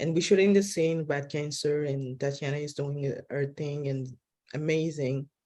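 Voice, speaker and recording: The tone is dark and mellow, delivered with fairly even intonation in a non-native accent. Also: woman, very deep, low pitch for a woman, moderate pace. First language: not English. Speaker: film director. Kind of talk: press junket interview. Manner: halting, many restarts.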